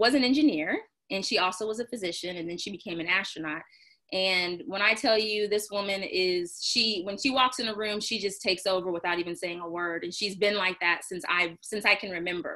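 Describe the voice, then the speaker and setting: A woman speaks in an unremarkable speaking voice with an American accent, at a medium pitch. Her pace is fairly quick and her pitch variation ordinary. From Texas, Houston (Clear Lake). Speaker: physician. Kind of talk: interview.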